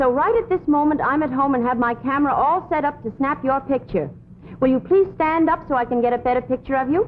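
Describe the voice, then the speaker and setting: Very fast and lively, a woman speaks at a high pitch with very even loudness against noticeable background noise. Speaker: actress playing a secretary. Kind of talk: reading fan letters aloud in comedy sketch.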